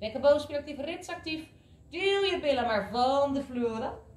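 With lively intonation, a woman speaks at a fairly quick pace amid audible room echo. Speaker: fitness instructor. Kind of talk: workout instruction. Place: gym.

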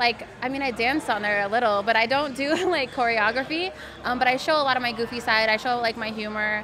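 Noticeable background noise sits under a woman speaking at a fairly quick pace, her pitch high with ordinary variation. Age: 20s. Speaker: adult content creator. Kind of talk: casual chat. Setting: live event. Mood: relaxed, casual. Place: studio. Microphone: studio mic.

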